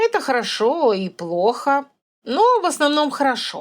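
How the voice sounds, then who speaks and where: In a put-on character voice, a woman speaks at a moderate pace with a high pitch and very wide pitch swings. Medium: read story. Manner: calm, authoritative, brisk.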